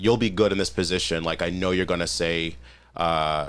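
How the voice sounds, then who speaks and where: This man's very deep, low voice carries vocal fry and lively intonation at a moderate pace. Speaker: firefighter. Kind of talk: casual chat. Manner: halting.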